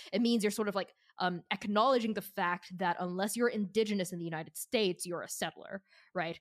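A woman's unremarkable speaking voice at a medium pitch and fairly quick pace, with ordinary pitch variation, in a very clean recording with a silent background and a dry, close sound with no echo. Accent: American. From Shanghai, China and Boston. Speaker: game designer and game master. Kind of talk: casual chat.

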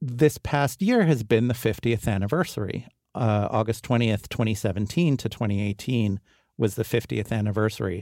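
Speaking with an American accent, a man uses a medium pitch, ordinary pitch variation and a moderate pace. His tone is dark and mellow in a very clean recording with a silent background. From New York City, Upper West Side. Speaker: literary translator. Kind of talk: interview.

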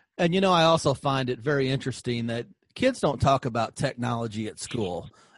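A man talks at a fairly quick pace with a normal speaking voice. His pitch is medium with ordinary variation, and the background is quiet. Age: 50s. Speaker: podcast host, former school superintendent. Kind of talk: interview podcast.

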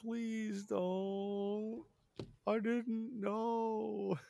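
Someone puts on a character voice at a fairly high pitch. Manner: remorseful, pleading.

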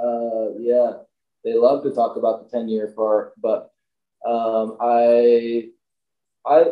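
A man with an American accent speaks at a very slow pace, leaving long, frequent pauses. His medium-pitched voice has monotone, flat intonation. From US Midwest, Milwaukee area, Wisconsin. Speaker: ski company owner. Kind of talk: casual interview chat.

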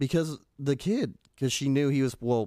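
This man has an unremarkable speaking voice. His pace is moderate, and his pitch varies in an ordinary way. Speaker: podcast host. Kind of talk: casual chat.

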